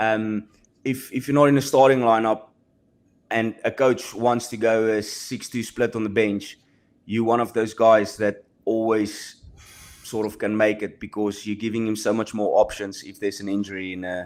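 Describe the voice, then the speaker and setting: A man with a South African accent on a very clean recording with a silent background. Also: medium pitch for a man, fairly even intonation, moderate pace. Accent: South African Afrikaans. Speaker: professional rugby player. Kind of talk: podcast interview. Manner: halting.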